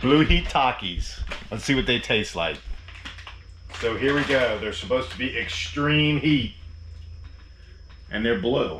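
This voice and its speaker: A man at medium pitch with ordinary pitch variation, long, frequent pauses and audible room echo. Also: fairly slow pace. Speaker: RV travel vlogger. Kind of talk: casual vlog narration.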